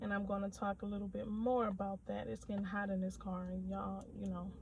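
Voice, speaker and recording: A soft-spoken woman talks at a fairly quick pace. Noticeable background noise runs behind her. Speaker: nail technician vlogger. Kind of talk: casual vlog rant. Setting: in a car.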